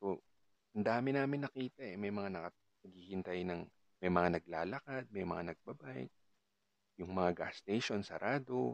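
A man speaks at a moderate pace in a fairly low pitch, his intonation lively, recorded with a dry, close sound that has no echo. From Philippines, Cavite. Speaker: podcaster. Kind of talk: casual monologue. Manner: halting.

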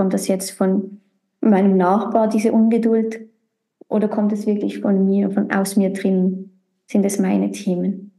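A woman with a medium pitch speaks at a moderate pace, her tone dark and mellow, somewhat breathy, with monotone, flat intonation and very even loudness. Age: 30s. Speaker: podcast host. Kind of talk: casual chat.

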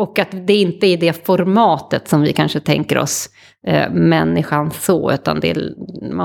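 A woman talks at a moderate pace in a very clean recording where the background is silent. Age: 40s. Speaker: futures consultant. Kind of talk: interview conversation. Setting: home kitchen studio.

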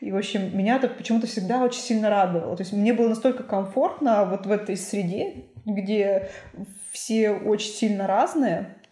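A woman holds a moderate pace and a fairly high pitch, her pitch moving in an ordinary way while noticeable background noise persists. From Perm Krai, Russia (Suksun district). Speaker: museum director. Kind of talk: casual chat.

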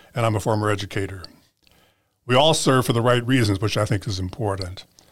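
The pace is fairly quick and the voice somewhat breathy. It belongs to a man with a fairly low pitch. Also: very clean recording, silent background. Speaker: school board president, retired educator. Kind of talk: interview, conversational.

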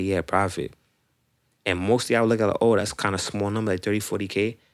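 Very fast speech in an American accent comes out monotone, with flat intonation. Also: man. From Queens, New York City (Rosedale). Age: 20s. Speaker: sneaker reseller. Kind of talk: casual chat.

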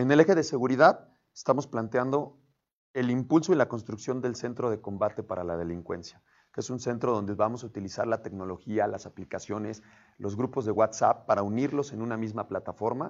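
Talking at a fairly quick pace, a man with an unremarkable speaking voice keeps a medium pitch and ordinary pitch variation. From San Martín Texmelucan, Puebla, Mexico. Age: 30s. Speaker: local political candidate. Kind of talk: interview.

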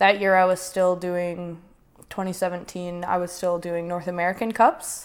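Fairly low in pitch, a woman with a western Canadian accent talks with monotone, flat intonation. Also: moderate pace. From Prince George, British Columbia, Canada. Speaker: Olympic snowboarder. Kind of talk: casual interview.

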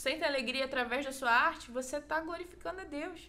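Raised and projected, a woman's high voice carries a bright, sharp tone, moving at a fairly quick pace with ordinary pitch variation. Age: 20s. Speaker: church youth volunteer. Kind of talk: casual chat.

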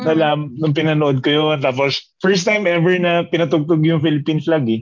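Delivered at a moderate pace, this is an unremarkable speaking voice. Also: man. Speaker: podcast co-host. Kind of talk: casual chat.

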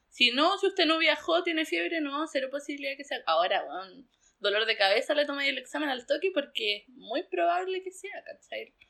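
A raised, projected voice with a Chilean accent comes at a fairly quick pace, its tone bright and sharp. The pitch swings very widely and the loudness swings a lot. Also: woman, high pitch for a woman, hardly any pauses. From southern Chile, Pucón. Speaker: rural doctor. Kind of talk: interview.

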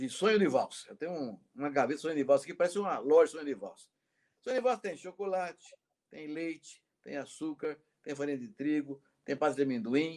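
He has a normal speaking voice, fairly high for a man. The pace is fairly quick. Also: lively intonation. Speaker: professor and interview host. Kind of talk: interview.

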